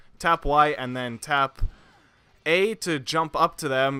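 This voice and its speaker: A man speaks in a bright, sharp tone, recorded dry and close with no echo in a very clean recording over a silent background. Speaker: gaming tutorial narrator. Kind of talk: casual gameplay commentary. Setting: home recording without pop filter.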